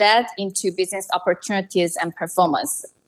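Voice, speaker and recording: A woman speaks with a Korean accent and fairly even intonation. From South Korea. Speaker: marketing analytics professional and author. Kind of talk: interview.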